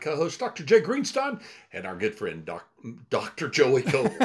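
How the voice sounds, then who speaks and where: This man's voice has vocal fry and swings very widely in pitch, captured in a very clean recording over a silent background. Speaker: podcast co-host. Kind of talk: casual interview chat.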